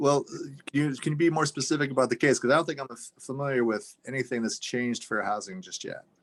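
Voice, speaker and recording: Ordinary pitch variation marks this man's speech. He talks at a very fast pace. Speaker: fair housing officer. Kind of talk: council meeting presentation.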